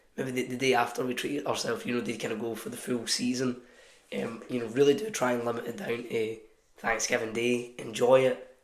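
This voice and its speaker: The voice runs fairly quickly in a flat monotone, with audible echo in the room. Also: man, medium pitch for a man. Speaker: fitness coach. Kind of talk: talking-head advice video. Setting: office. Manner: casual, filler-heavy.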